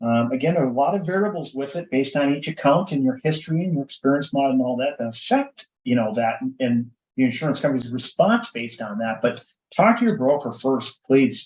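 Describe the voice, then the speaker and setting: This man talks at a fairly quick pace, his fairly high voice carrying lively intonation. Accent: Minnesotan. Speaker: insurance broker. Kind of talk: casual interview.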